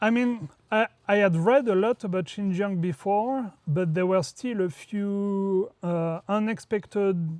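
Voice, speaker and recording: With a French accent, a man speaks at a very slow pace in a high pitch. The sound is dry and close with no echo, and the background is quiet. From France. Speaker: entrepreneur and traveler. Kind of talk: interview. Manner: hesitant, many fillers.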